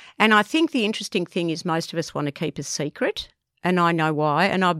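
A woman with an Australian accent speaks at a fairly quick pace. Her pitch is fairly low, and the sound is dry and close with no echo. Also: very clean recording, silent background. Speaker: podcast co-host. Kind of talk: casual chat.

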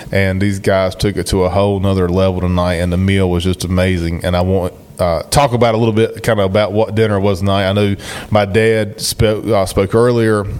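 A man's fairly low voice with an Eastern North Carolina accent, flat and monotone in intonation, at very even loudness over noticeable background noise. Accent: Eastern North Carolina Southern. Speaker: podcast host. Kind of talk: casual podcast chat. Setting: hunt camp, recorded on location.

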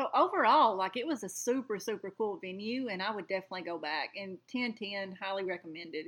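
A woman with a Southern US accent, medium pitch, lively intonation, a fairly quick pace and hardly any pauses. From rural Alabama. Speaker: podcast co-host. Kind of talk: casual chat.

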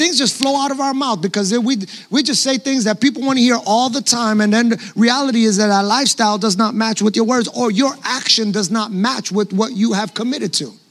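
Against noticeable background noise, a man with a New York accent and an extremely high pitch talks at a fairly quick pace with ordinary pitch variation. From New York City. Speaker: pastor. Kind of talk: sermon.

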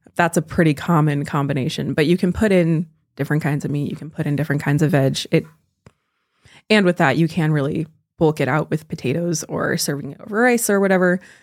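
Very clean and recorded against a silent background, this woman's voice is very deep and low in pitch. She speaks at a very fast pace in an American accent, with ordinary pitch variation. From California. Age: 20s. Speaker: college student and bread baker. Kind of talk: casual chat.

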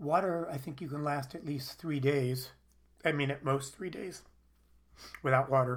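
A man speaks at a moderate pace, his loudness swinging widely, with long pauses coming often. Room echo can be heard. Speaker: psychologist and psychoanalyst. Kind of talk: lecture. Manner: halting.

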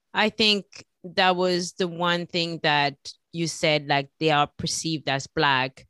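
Very slowly, a woman speaks with a bright, sharp tone at a fairly low pitch. Her intonation stays fairly even, and the sound is dry and close with no echo. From France. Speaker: podcast host. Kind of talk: interview.

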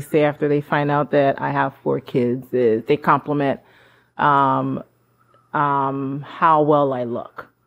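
Very slow and fairly even in intonation, a woman's voice moves through the clip. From Haiti. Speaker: podcast co-host. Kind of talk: casual chat.

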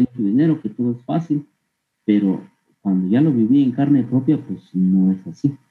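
A man talks fairly quickly, with ordinary pitch variation. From Guatemala, Huehuetenango (San Pedro Soloma). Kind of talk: interview testimony. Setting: online call. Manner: halting, with frequent repetitions and fillers.

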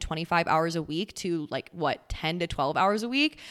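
At a fairly quick pace, a woman talks in an ordinary speaking voice with a fairly low pitch, captured on a very clean recording with a silent background. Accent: American. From US Midwest, central Wisconsin. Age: 20s. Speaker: podcast host and lifestyle coach. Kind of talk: casual chat.

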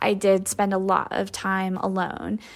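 Recorded very cleanly against a silent background, a woman speaks at medium pitch with a Midwestern American accent. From US Midwest, rural northwest Iowa. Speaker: fine art photographer. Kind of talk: interview.

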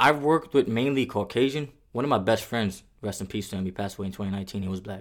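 An animated man in an American accent, medium in pitch, very fast, with big swings in loudness. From the Bronx, New York City. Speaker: security guard. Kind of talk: casual interview conversation. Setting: in person.

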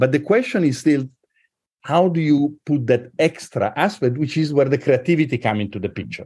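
A man with a fairly high, somewhat breathy voice speaks at a fairly quick pace with ordinary pitch variation. The background is quiet. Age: old. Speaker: university president and mathematician. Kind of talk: interview conversation. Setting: video call.

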